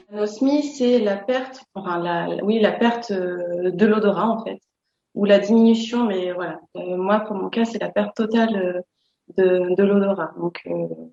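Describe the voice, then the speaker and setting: A woman's medium-pitched voice with ordinary pitch variation, at a fairly slow pace. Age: 40s. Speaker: person living with anosmia. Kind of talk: testimony. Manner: hesitant, with fillers and repetitions.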